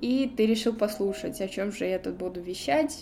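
Speaking at a fairly slow pace, a woman uses a normal speaking voice with fairly high pitch and lively intonation. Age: 20s. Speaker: podcaster. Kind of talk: personal storytelling monologue. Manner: chatty, casual.

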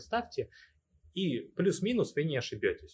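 A man talks at a moderate pace. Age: 30s. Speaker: crypto investor and project ambassador. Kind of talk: casual interview.

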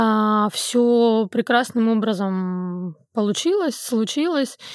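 On a very clean recording with a silent background, a woman speaks at a very slow pace. Her fairly high voice carries lively intonation. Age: 30s. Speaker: podcast guest. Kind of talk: casual chat.

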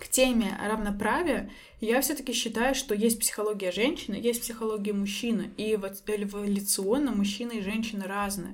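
Somewhat breathy and fairly high in pitch, a woman speaks at a moderate pace with fairly even intonation and audible room echo. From Belarus, Minsk. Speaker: psychologist and coach. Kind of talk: interview.

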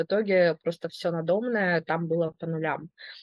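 A woman with a fairly low pitch speaks at a moderate pace with fairly even intonation. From Belgorod, Russia. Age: 30s. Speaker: historian. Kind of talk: personal testimony interview.

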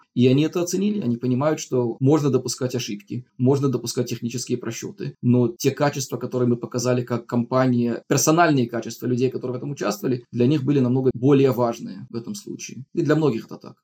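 Talking at a very fast pace with hardly any pauses, a man has a medium pitch and ordinary pitch variation. His tone is dark and mellow. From outside Russia. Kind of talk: casual storytelling.

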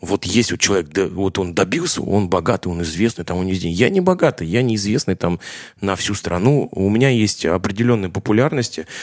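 A man with a normal speaking voice talks at a fairly quick pace. His pitch is fairly low, with ordinary variation. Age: 30s. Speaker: drummer. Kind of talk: casual interview chat. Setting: kitchen.

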